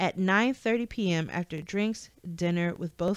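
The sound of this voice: The pitch rises and falls in an ordinary way. It is an unforced reading voice.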